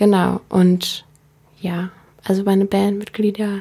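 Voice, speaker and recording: A woman speaks at a very slow pace. Her medium-pitched voice has monotone, flat intonation. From Berlin, Germany. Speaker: singer-songwriter. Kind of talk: interview. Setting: radio studio.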